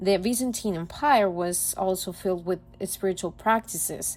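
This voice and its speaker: A woman speaks at medium pitch and a moderate pace. Her intonation is fairly even, and she has a non-native accent. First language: not English. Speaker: student presenter. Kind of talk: class presentation. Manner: reading from a script, slightly halting.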